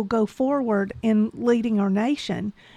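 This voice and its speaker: Speaking with a Southern US accent, a woman uses a fairly high pitch and ordinary pitch variation, recorded dry and close with no echo, very clean, on a silent background. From Georgia, US South. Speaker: podcast producer. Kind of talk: casual chat.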